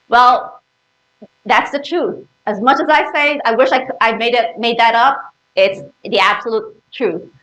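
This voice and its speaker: In a room with audible echo, a woman talks at a fairly slow pace with a high pitch, lively intonation and an animated tone that is bright and sharp. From Philippines. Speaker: public speaking club member. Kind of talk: presentation to audience. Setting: stage with audience.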